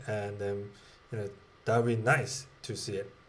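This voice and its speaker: Somewhat breathy, this man's medium-pitched voice carries audible room echo. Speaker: tech educator. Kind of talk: tutorial. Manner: slow; halting, many fillers.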